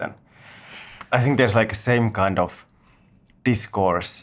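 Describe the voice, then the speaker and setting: A man talks at a moderate pace in an ordinary speaking voice, his intonation fairly even. The recording is very clean, with a silent background. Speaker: podcast co-host. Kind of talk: casual interview.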